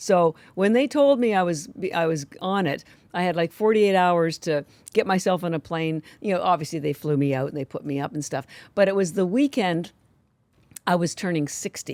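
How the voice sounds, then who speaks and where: A woman's fairly low, animated voice with lively intonation at a moderate pace, dry and close with no echo, on a very clean recording with a silent background. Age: 60s. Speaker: company founder. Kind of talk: interview conversation.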